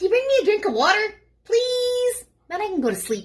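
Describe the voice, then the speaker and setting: A woman puts on a squeaky character voice at an extremely high pitch. She talks at a fairly quick pace. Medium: read story. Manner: polite, wheedling.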